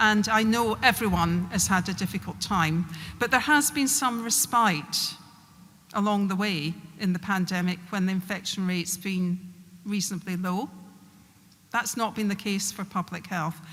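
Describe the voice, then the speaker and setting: A woman in a Glasgow accent speaks at a moderate pace and medium pitch with ordinary pitch variation. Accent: broad Glasgow. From Scotland, Glasgow. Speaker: public health official. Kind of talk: speech.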